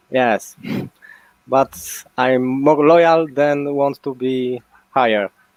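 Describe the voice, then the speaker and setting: At a very slow pace with long, frequent pauses, the voice keeps a fairly even intonation in a dry, close sound with no echo. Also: man, medium pitch for a man. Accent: Polish. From Poland. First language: Polish. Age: 30s. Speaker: online racing game player. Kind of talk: casual chat. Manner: halting.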